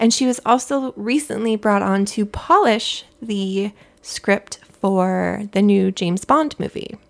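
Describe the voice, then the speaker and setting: A soft-spoken woman with an American accent talks at medium pitch. Her pace is very slow, with ordinary pitch variation. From US West Coast (Southern California). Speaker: podcast co-host. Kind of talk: casual chat reviewing TV.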